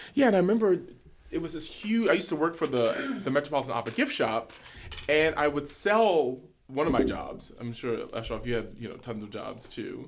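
This man speaks at a fairly quick pace in an American accent, his fairly high voice making very wide pitch swings and big jumps in loudness. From New York City, Harlem. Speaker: opera tenor. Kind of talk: casual interview.

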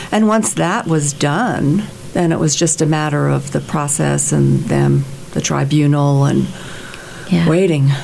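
Against noticeable background noise, a woman talks at a fairly slow pace with very even loudness. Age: 70s. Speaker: convert to Catholicism, retired, music ministry. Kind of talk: interview, sharing personal faith story. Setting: radio studio.

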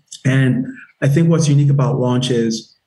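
Medium-pitched male speech, somewhat breathy, dark and mellow in tone. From Nigeria (Lagos), moved to South Carolina at 10. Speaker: army veteran and startup founder. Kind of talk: interview. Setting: podcast interview.

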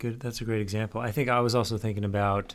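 The recording is very clean, with a silent background. In it, a man talks at a moderate rate. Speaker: podcast host. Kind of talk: casual chat.

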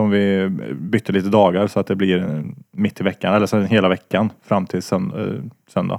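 This man has an ordinary speaking voice, fairly low in pitch, with very even loudness, fairly even intonation and a moderate pace. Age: 20s. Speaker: podcast co-host. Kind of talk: casual chat.

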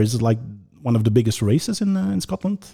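With lively intonation, a man speaks in a dark, mellow tone that is somewhat breathy. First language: Dutch. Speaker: podcast host. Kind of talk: podcast interview.

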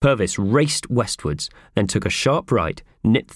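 The text is read aloud plainly, with intonation that stays lively.

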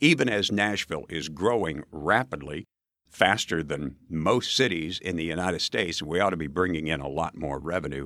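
With an American accent, a man talks in a very deep, low pitch, a bright, sharp tone, vocal fry and ordinary pitch variation. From rural Nebraska. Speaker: mayoral candidate, former radio host. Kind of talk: interview.

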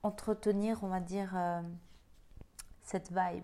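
At a fairly slow pace, a woman speaks in a monotone, flat intonation. Her tone is dark and mellow. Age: 30s. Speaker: podcast host. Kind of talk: personal reflective monologue. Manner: hesitant, with many fillers.

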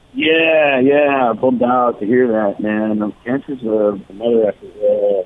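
A man with a Californian accent talks at a fairly slow pace, at medium pitch, with ordinary pitch variation and hardly any pauses. Noticeable background noise is present. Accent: Californian American English. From Los Angeles. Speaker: rock musician. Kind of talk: interview.

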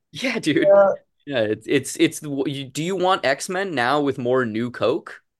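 A man with an unremarkable speaking voice, fairly high pitch, lively intonation and a fairly slow pace, against a quiet background. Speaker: comic book writer and illustrator. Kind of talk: interview.

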